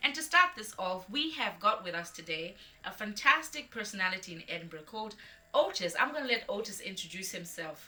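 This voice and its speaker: A woman at medium pitch speaks at a fairly quick pace with very wide pitch swings and big shifts in loudness, over noticeable background noise. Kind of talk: interview host introduction.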